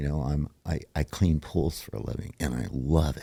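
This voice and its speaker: A man's very deep, low voice with a dark, mellow tone, vocal fry, ordinary pitch variation and a fairly slow pace. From born in New York, raised elsewhere. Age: 60s. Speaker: recovering alcoholic, pool cleaner. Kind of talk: personal testimony in interview.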